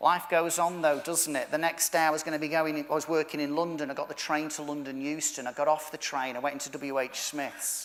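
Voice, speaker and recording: With a Manchester accent, a man speaks at a fairly quick pace and fairly high pitch in a monotone, flat intonation, hardly pausing. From northern England, Manchester. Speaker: motivational speaker. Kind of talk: keynote speech.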